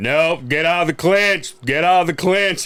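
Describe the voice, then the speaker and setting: This is a put-on character voice at a moderate pace. The loudness stays very even. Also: man, high pitch for a man. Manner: booming, commanding.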